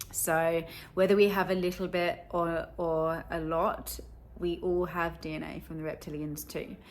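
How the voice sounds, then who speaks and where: Audible room echo carries the fairly low voice of a woman speaking with an English accent. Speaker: spiritual content creator. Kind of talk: casual video monologue. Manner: casual, chatty.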